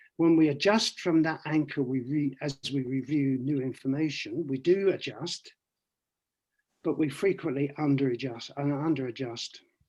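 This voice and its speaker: Moderate pace and ordinary pitch variation from a man with an ordinary speaking voice at a fairly high pitch, over a quiet background. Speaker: economist giving a talk. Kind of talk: online presentation with slides. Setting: video call.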